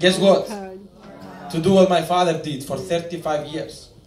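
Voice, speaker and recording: Recorded with audible room echo, a man talks at a moderate pace. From Cyprus. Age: 20s. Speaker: network marketing speaker. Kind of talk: motivational speech. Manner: animated.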